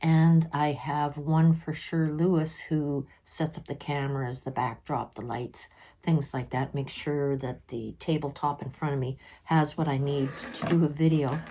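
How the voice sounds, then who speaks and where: In a very deep, low voice with a dark, mellow tone, a woman speaks fairly slowly with monotone, flat intonation. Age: 60s. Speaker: vlogger sharing mental health experiences. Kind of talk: personal vlog monologue.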